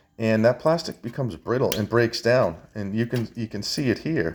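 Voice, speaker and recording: A man's medium-pitched voice in a New England accent, fairly slow, with ordinary pitch variation. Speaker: electronics scrapper, video maker. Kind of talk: hands-on tutorial. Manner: casual, halting with restarts.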